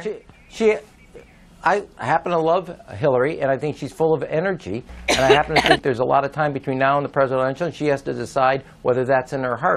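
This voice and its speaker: The delivery races along very fast. Behind it, noticeable noise is audible. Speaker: party leader. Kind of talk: interview answer.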